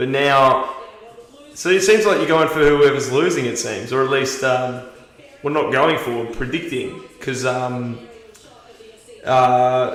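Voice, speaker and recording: A man with an Australian accent and a fairly high pitch speaks very slowly, with audible room echo and noticeable background noise. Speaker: live stream host. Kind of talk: live watch-party commentary. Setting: livestream. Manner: casual; halting, many fillers.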